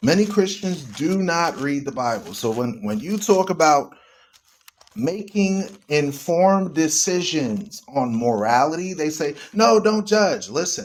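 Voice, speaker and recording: A loud man speaks in an animated tone at a fairly high pitch. His pace is fairly slow, and his pitch swings very widely. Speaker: online radio host. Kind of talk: live stream talk on religion. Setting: live stream. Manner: animated, emphatic.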